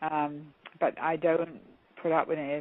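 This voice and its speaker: A woman speaks fairly slowly in a very deep, low pitch. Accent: English. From England (London). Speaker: counselor and motivational speaker. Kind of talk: interview.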